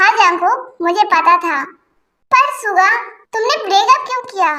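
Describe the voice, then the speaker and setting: In a squeaky, put-on character voice, a woman speaks at a moderate pace with extremely high pitch and lively intonation. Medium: fan dub. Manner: firm, matter-of-fact.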